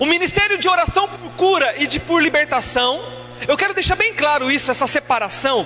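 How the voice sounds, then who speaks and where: A man speaks in a raised, projected voice with lively intonation over noticeable background noise. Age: 30s. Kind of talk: sermon.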